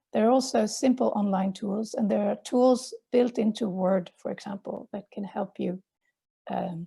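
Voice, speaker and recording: A woman speaks at medium pitch with a dark, mellow tone and a Swedish accent. Her voice is somewhat breathy, with ordinary pitch variation and a dry, close sound with no echo. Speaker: journal editor and academic. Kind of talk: webinar presentation. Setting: online webinar.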